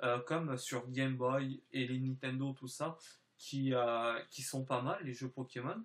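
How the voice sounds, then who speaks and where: A man speaks with a fairly high pitch. His pace is very slow. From France / Spain (mixed), time in southern France. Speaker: YouTuber. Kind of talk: vlog channel presentation. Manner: halting, many hesitations.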